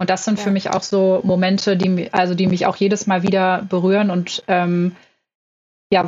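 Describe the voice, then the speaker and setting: A woman speaks in a medium pitch. Her intonation is monotone and flat. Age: 20s. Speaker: management consultant. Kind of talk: podcast interview.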